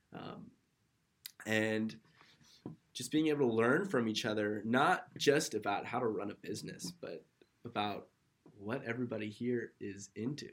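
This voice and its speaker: With an American accent, a man speaks at a medium pitch and a moderate pace, with ordinary pitch variation and long, frequent pauses. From California (Kernville). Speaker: startup co-founder, student. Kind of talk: casual chat.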